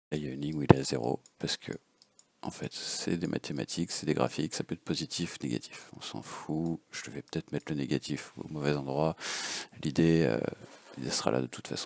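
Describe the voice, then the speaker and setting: Loudness swings widely as a man with a very deep, low voice talks at a fairly quick pace, the sound dry and close with no echo. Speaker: FPV drone hobbyist. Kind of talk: casual unscripted tutorial.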